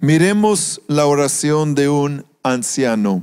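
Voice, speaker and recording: A man with a fairly high pitch talks at a very slow pace with lively intonation. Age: 60s. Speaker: pastor. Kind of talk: sermon.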